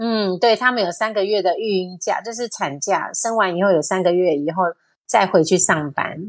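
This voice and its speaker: A woman's unremarkable speaking voice at medium pitch, with ordinary pitch variation, a moderate pace and a quiet background. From Taiwan. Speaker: university teacher. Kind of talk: casual chat.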